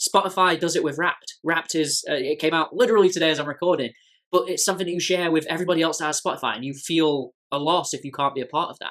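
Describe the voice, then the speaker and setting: Very fast speech in an English accent, on a very clean recording with a silent background. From England. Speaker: tech business commentator. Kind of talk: video essay explainer. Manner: conversational with frequent restarts.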